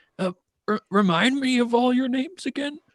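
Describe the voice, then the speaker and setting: Put-on character voice from a man at an extremely high pitch, moderate pace. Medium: actual play. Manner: boisterous, friendly.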